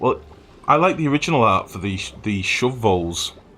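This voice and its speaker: A man speaks in a northern English accent. His pace is fairly quick and his pitch fairly low. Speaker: video game streamer. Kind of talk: live gameplay commentary. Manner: casual, chatty.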